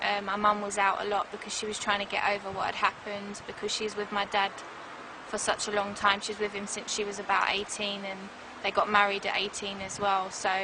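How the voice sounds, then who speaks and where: Over noticeable background noise, a woman with a medium pitch speaks quickly in a monotone, flat intonation. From south London, England (Croydon). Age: 20s. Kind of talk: interview testimony. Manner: hesitant, many fillers.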